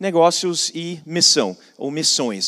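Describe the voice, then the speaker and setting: A man speaks with a non-native accent. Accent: foreign accent in Portuguese. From foreign, not Brazil. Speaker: business and missions speaker. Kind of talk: conference talk. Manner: repetitive false starts.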